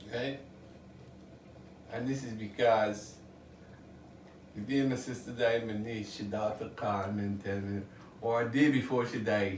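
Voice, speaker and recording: Over noticeable background noise and audible room echo, a man at medium pitch speaks at a fairly slow pace with fairly even intonation and long, frequent pauses. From Guyana. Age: 70s. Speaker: music producer and songwriter. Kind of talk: casual interview.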